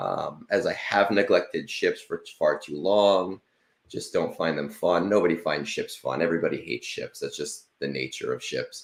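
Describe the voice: A man's extremely low voice shows ordinary pitch variation. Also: moderate pace.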